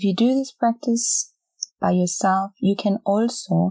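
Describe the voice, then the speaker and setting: Somewhat breathy and dark, mellow in tone, the voice sounds gentle and calm, with ordinary pitch variation and a dry, close sound with no echo. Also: woman. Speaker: podcast host and meditation guide. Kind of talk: guided meditation. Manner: slow, calm, soothing, with long pauses; gentle, soft-spoken, instructing listener to repeat phrases silently.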